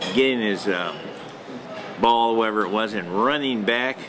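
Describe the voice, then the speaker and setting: A man speaks at a moderate pace with fairly even intonation. Noticeable background noise and audible room echo are present. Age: 70s. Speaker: dog breeder. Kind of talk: interview. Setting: hotel. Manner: casual, halting with fillers.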